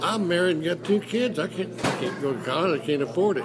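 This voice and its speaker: A man with an Ozarks accent, lively intonation and a moderate pace, over noticeable background noise. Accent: Southern Midland American (Missouri Ozarks). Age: 80s+. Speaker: retired radio broadcaster. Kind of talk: interview answer. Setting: noisy restaurant.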